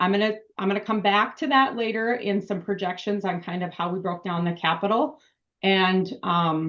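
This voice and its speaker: A woman speaks at a medium pitch with ordinary pitch variation. The background is quiet. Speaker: municipal finance consultant. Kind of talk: budget presentation at town board meeting. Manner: fast.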